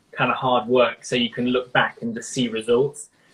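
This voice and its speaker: This man has a British accent. He speaks at a moderate pace. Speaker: rock guitarist. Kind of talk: interview. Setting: live stream.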